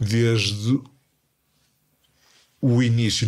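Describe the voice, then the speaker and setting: A man talks very slowly, recorded very cleanly against total silence. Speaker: podcast guest, person who stutters. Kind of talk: casual chat. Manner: stuttering.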